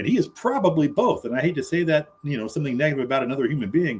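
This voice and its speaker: A man's voice, fairly high in pitch. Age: 60s. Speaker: political commentary panelist. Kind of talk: casual debate. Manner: halting, repeated starts.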